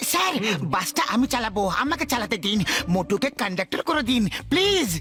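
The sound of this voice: A cartoonish character voice sits at a fairly high pitch. Clear background noise can be heard. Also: moderate pace.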